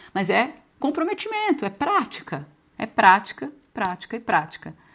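A woman at a moderate pace, with very wide pitch swings, against a quiet background. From Brazil, small inland town. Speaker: spiritual coach. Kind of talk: live group session on spiritual growth. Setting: video call. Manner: casual, conversational.

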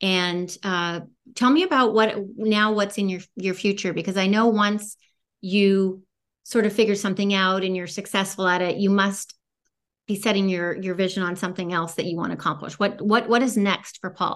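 Against a quiet background, a plain, everyday voice talks at a moderate pace with fairly even intonation. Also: woman, medium pitch for a woman. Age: 50s. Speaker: podcast host. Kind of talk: interview.

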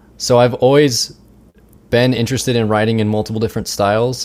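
Man with an American accent and medium pitch, moderate pace with long, frequent pauses. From Richmond, Virginia. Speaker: composer and music educator. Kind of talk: interview. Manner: halting, many fillers and repetitions.

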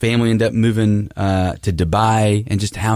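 A man speaks in an ordinary speaking voice with fairly low pitch and fairly even intonation, recorded very cleanly against a silent background. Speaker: radio host. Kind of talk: radio interview. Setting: radio studio.

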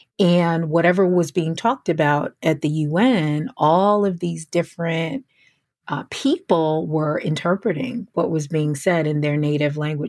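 At a moderate pace, a woman speaks in an ordinary speaking voice with a fairly low pitch and ordinary pitch variation. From US Northeast, near New York City. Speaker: podcast host, career coach. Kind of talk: solo podcast monologue.

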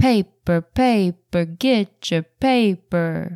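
The voice carries a dramatic, warm tone in a dry, close sound with no echo. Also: woman. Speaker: podcast host. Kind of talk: casual solo podcast talk; poem read aloud, performed. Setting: solo recording, Taylor absent. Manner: slow, measured, expressive poetry delivery with dramatic pauses; warm, conversational, thoughtful.

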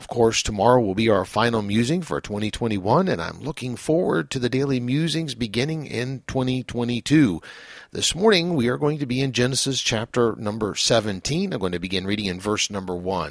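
Using an ordinary speaking voice, a man talks at a fairly quick pace with hardly any pauses, his medium pitch carrying lively intonation. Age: 50s. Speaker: pastor. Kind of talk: devotional reflection.

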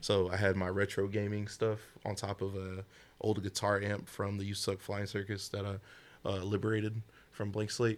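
This is a very clean recording with a silent background. A man with a Southern US accent speaks at a fairly low pitch. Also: moderate pace. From US South. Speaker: rapper and jazz artist. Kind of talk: casual chat. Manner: animated, joking.

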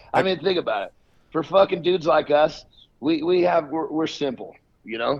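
In an American accent, the speaker goes at a fairly quick pace with vocal fry and ordinary pitch variation. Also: man, fairly high pitch for a man. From US West Coast (northern California, then Portland, Oregon). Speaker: fitness influencer and bodybuilder. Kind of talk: casual chat. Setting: phone call.

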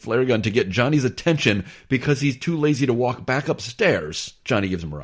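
The clip is read in a natural reading voice with lively intonation.

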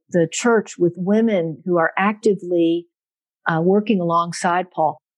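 A woman with an American accent uses a normal speaking voice at medium pitch and a fairly slow pace. Her pitch varies in an ordinary way, and the sound is dry and close with no echo. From South Central Pennsylvania, US. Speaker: biblical scholar. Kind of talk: interview.

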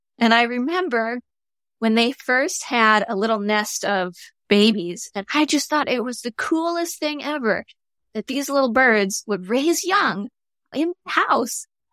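With an American accent, a woman speaks at a high pitch in a bright, sharp tone with lively intonation. She goes at a fairly slow pace, and the sound is dry and close with no echo. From Michigan, US Midwest. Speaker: behavioral ecologist. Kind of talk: interview conversation. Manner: animated.

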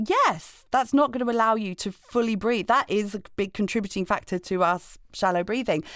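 A woman's fairly high-pitched, ordinary speaking voice, with ordinary pitch variation and hardly any pauses. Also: moderate pace. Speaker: podcast co-host. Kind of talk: casual chat. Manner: playful, laughing.

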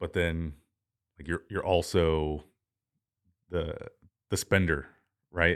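On a very clean recording with a silent background, a man with a very deep, low pitch talks at a fairly slow pace. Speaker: podcast host. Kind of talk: casual interview.

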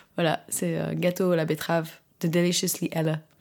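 A woman talks at a fairly quick pace. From France (Alsace). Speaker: ballet dancer. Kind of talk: casual chat. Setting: home kitchen.

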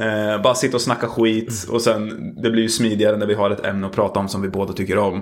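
Delivered at a very fast pace with hardly any pauses, the voice stays monotone and flat over noticeable background noise. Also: man, fairly low pitch for a man. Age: 20s. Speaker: podcast host. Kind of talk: casual chat. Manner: sleepy-sounding.

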